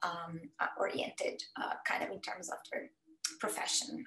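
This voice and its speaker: A woman speaks at a moderate pace with a Brazilian accent and lively intonation. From Brazil, Campinas (São Paulo state); São Paulo state, Brazil. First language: Portuguese. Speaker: cancer researcher. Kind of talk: educational talk. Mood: warm, personal storytelling. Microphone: video call.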